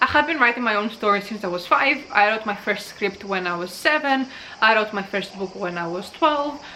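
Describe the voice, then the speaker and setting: Over noticeable background noise, a woman talks fairly quickly with lively intonation and a fairly high pitch. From Greece. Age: 20s. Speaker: booktuber. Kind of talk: casual vlog, answering tag questions.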